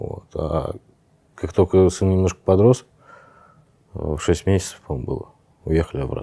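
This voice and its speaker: A man with a very deep, low pitch and a dark, mellow tone, speaking with long, frequent pauses. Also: ordinary pitch variation, moderate pace. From Saint Petersburg, Russia. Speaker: tech company founder. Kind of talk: casual interview. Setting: walking through an office.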